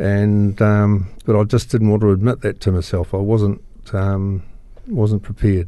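With a New Zealand accent, a man speaks at a fairly slow pace and fairly low pitch in a dark, mellow tone, with monotone, flat intonation and very even loudness. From New Zealand, Christchurch. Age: 60s. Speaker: recovering alcoholic. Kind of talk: personal testimony interview. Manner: halting, many fillers.

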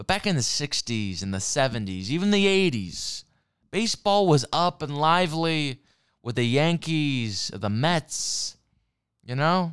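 A man speaks at a fairly slow pace with a fairly high pitch and very wide pitch swings. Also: very clean recording, silent background. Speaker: solo podcaster doing a comedic persona. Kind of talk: angry profane rant about baseball and America's decline. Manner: put-on accent, riffing in character; heated, swearing, emphatic punchy fragments.

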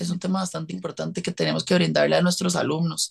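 The voice is a woman's, fairly low in pitch. The sound is dry and close, with no echo. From Costa Rica. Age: 20s. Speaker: dancer and dance teacher. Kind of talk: interview conversation. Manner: animated.

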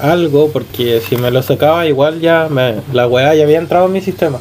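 A man talks at a fairly quick pace with a Chilean accent, his pitch fairly high and ordinary in its variation. Music plays in the background. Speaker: podcast co-host. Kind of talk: casual chat.

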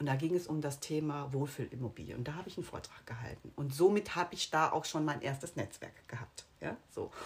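Somewhat breathy and very deep in pitch, a woman speaks at a fairly quick pace with hardly any pauses and ordinary pitch variation. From Rhineland, Germany (Bonn). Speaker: real estate sales consultant. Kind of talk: casual interview. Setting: in person with host. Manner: fast.

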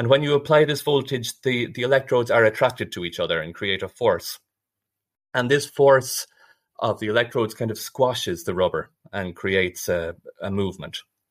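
A man with an Irish accent at a medium pitch, lively intonation and a fairly quick pace, in a very clean recording with a silent background. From Ireland. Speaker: biomedical engineering researcher. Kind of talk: interview.

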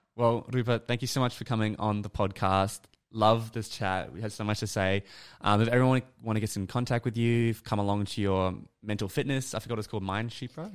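Very clean and silent in the background, this recording has a man with an Australian accent speaking at a fairly low pitch. He keeps a fairly quick pace and fairly even intonation. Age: 20s. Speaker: podcast host. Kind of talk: casual interview.

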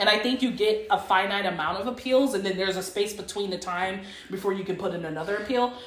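Very fast speech with fairly even intonation and noticeable background noise. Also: woman, medium pitch for a woman. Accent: American. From Texas. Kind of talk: casual chat.

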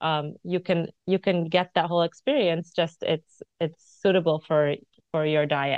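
A woman with an American accent and an unremarkable speaking voice, fairly low-pitched, at a fairly slow pace, with fairly even intonation and very even loudness. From United States. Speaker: cookbook author and food influencer. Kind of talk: casual interview chat.

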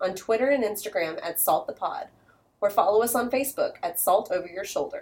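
A woman with a fairly high voice. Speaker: podcast co-host. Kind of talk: casual chat; reading aloud. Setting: studio. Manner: loud.

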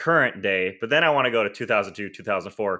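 A man's unremarkable speaking voice at medium pitch, lively in intonation and moderate in pace. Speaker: podcast host. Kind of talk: interview, casual chat.

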